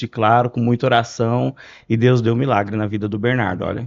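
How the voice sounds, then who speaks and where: Over a quiet background, a man with an unremarkable speaking voice talks at medium pitch with fairly even intonation, the sound dry and close with no echo. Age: 30s. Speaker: glass industry sales professional. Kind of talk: podcast interview.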